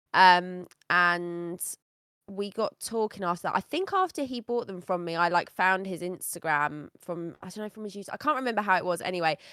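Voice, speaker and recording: A woman with an ordinary speaking voice talks at a fairly quick pace, at medium pitch with ordinary pitch variation. The very clean recording has a silent background and a dry, close sound with no echo. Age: adult. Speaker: content creator and card seller. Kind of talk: casual chat. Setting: podcast.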